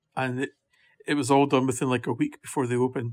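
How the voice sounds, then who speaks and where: Recorded very cleanly against a silent background, a man with a Scottish accent speaks with fairly even intonation. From Scotland. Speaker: golf championship administrator. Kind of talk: interview.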